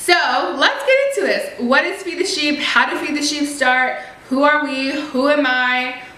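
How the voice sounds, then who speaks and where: Over noticeable background noise and audible room echo, a woman uses a raised, projected voice with an animated tone. Her pitch is high, her pace moderate and her pitch variation ordinary. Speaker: vlogger, ministry co-founder. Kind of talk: casual vlog storytime. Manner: high-pitched when excited.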